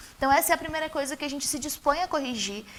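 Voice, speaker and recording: The voice belongs to a woman. Pitch variation is ordinary. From Brazil, Osasco (São Paulo state). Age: 30s. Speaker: mayoral candidate. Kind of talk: TV interview.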